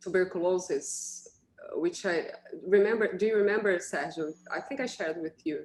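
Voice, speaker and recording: Speaking with a Portuguese accent, a woman keeps a medium pitch, ordinary pitch variation and a moderate pace. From Brazil. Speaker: radiologist, moderator. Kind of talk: webinar panel discussion.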